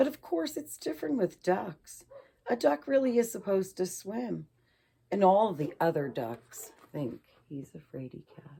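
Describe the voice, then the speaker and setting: Raspy and squeaky, a put-on character voice at a middle pitch moves at a moderate pace with very wide pitch swings. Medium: read story.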